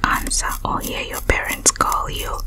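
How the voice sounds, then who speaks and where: Soft-spoken whispering in a calm tone under loud background noise. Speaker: scalp-care session host. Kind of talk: soft-spoken storytelling about childhood. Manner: soft ASMR whisper, calm storytelling.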